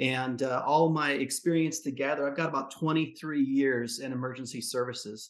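Delivered at a moderate pace, a plain, everyday voice keeps a fairly even intonation. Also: man. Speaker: fire service medic and coach. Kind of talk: coaching session, casual conversation.

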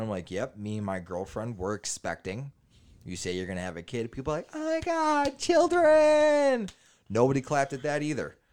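A man with an animated tone at a fairly quick pace, ordinary pitch variation, on a very clean recording with a silent background. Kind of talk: stand-up comedy bit, crude storytelling about a live set with crowd banter. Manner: animated, brash, profane, punchline-driven, laughing at his own jokes.

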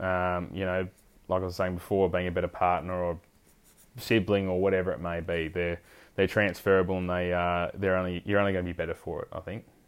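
A man's very deep, low voice with an Australian accent, at a fairly quick pace and in a monotone, flat delivery. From South Australia, Fleurieu Peninsula. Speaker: head stockman. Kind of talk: interview. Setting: in person.

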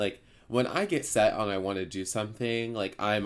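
A man with a fairly low pitch talks at a moderate pace in an unremarkable speaking voice, his intonation fairly even. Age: 20s. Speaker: podcast host, pharmacy student. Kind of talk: casual chat.

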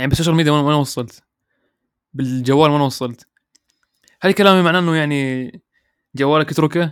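A man's fairly high voice at a fairly quick pace, broken by long, frequent pauses, with ordinary pitch variation. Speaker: podcast host. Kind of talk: casual monologue. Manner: relaxed, natural.

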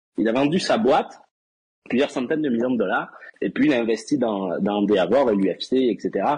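With an unremarkable speaking voice, a man talks at medium pitch and a moderate pace, his pitch varying in an ordinary way and his loudness very even. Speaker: wrestling fan guest. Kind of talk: casual chat. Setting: voice chat call.

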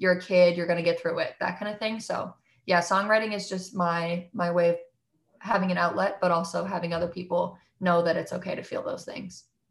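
Somewhat breathy and in a monotone, flat intonation, a woman of medium pitch speaks at a fairly quick pace. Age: 20s. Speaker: singer-songwriter. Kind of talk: casual interview chat.

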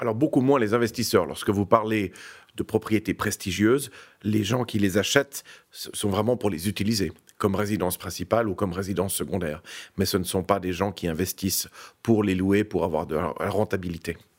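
In a very clean recording with a silent background, a man with a plain, everyday voice speaks at a fairly quick pace, fairly low in pitch with ordinary pitch variation. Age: 50s. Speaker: real estate executive. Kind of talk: interview. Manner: formal.

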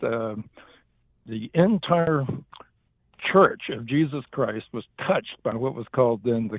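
Speaking with a Southern US accent, a man talks at a fairly slow pace, leaving long, frequent pauses, with big swings in loudness. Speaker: minister. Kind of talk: interview.

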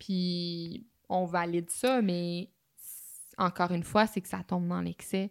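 In a Quebec accent, a woman talks at medium pitch on a very clean recording with a silent background and a dry, close sound with no echo. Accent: Québécois French. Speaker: podcast co-host. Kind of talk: casual chat.

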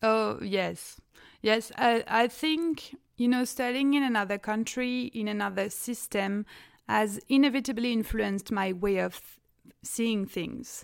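At a fairly slow pace, a woman speaks with fairly high pitch and ordinary pitch variation. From France. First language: French. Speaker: graduate student. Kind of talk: casual academic conversation. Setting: video call.

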